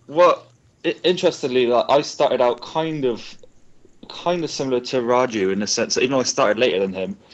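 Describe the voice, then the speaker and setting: A man speaks in a Bristol accent with lively intonation. He talks at a fairly quick pace. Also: medium pitch for a man. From Bristol, England. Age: 20s. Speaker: competitive fighting game player. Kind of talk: casual chat. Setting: live online broadcast.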